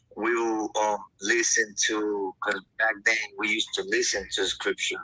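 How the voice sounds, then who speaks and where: The speaker, a man, has a non-native accent. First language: not English. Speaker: panel guest sharing testimony. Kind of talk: testimony. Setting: livestream panel. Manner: casual, hesitant with fillers.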